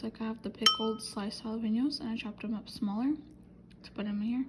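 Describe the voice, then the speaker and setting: A woman speaks at a fairly quick pace in a fairly high pitch. Her intonation stays fairly even, and there is noticeable background noise. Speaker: vlogger. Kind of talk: casual vlog chat.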